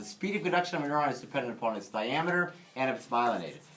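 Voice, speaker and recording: There is noticeable background noise. A man talks at a fairly high pitch. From US Midwest, St. Louis. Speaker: physiology instructor. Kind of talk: lecture. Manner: casual, with many fillers.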